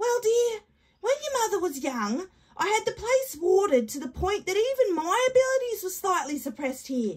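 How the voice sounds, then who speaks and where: A woman puts on a character voice with an extremely high pitch, talking at a moderate pace. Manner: warm, patient, matter-of-fact.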